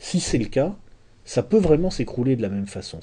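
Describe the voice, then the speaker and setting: Speaking at a fairly quick pace, a man has a dark, mellow, somewhat breathy tone and very wide pitch swings. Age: 40s. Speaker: essayist and lecturer. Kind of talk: lecture. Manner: halting with frequent repetitions.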